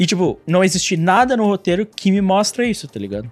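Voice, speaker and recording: Music plays in the background as a man with a high pitch and ordinary pitch variation speaks in a dry, close sound with no echo. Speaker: anime podcast host. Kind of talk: casual chat. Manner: animated.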